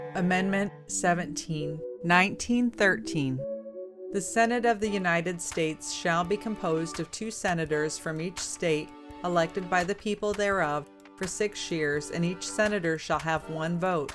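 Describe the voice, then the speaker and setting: Over music in the background, a woman with a fairly low voice speaks in a calm tone at a moderate pace with ordinary pitch variation. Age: middle-aged. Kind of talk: document reading. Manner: calm, clear, articulate.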